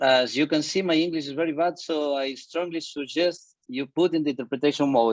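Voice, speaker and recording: Speaking with a Spanish accent, a man moves at a fairly quick pace with hardly any pauses, his pitch fairly high and his intonation fairly even. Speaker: surgeon. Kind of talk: conference presentation.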